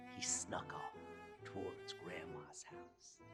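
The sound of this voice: Someone whispers at a slow pace. Faint music plays in the background.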